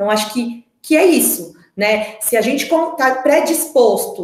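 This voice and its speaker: Speaking at a fairly slow pace, the voice has lively intonation and an animated tone. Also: woman. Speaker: speech therapist. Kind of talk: online talk for parents. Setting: online meeting. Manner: animated, varied intonation.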